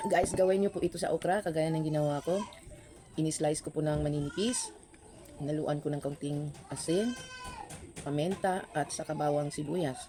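A woman's very deep voice with ordinary pitch variation at a moderate pace, over noticeable background noise. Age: old. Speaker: food vlogger. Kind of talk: mukbang vlog. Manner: eating while talking.

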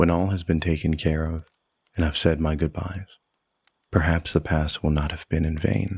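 A man's very deep, low voice, somewhat breathy, with monotone, flat intonation and long, frequent pauses. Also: moderate pace. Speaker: poet. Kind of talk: poetry reading, performed spoken word. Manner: measured, solemn.

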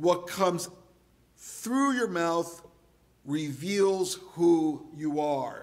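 A man with fairly high pitch, lively intonation, and a very slow pace

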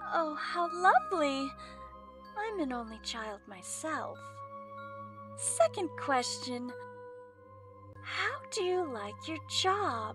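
With faint music in the background, a woman in a put-on character voice speaks slowly at a high pitch, with big pitch swings, long, frequent pauses and a fairly bright tone.

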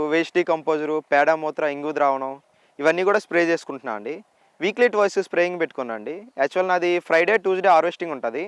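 In a quiet background with a dry, close sound and no echo, a man speaks at a high pitch with ordinary pitch variation. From Andhra Pradesh, Vizianagaram district. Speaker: organic farmer. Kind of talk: interview. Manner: polite, English-mixed Telugu.

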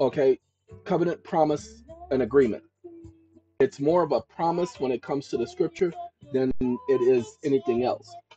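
Speech at a moderate pace plays over faint music in the background. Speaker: online host giving talks on real estate. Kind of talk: lecture-style storytelling commentary.

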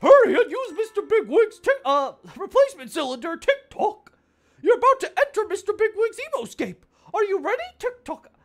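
The voice is a put-on character. It climbs to an extremely high pitch. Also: moderate pace. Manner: cartoony.

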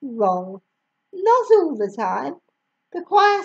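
In quiet surroundings, a natural voice reads a text aloud.

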